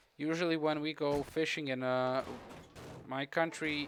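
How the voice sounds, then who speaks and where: A man with a Croatian accent and fairly even intonation. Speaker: gaming streamer. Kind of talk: live gameplay commentary with chat. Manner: casual, halting with fillers.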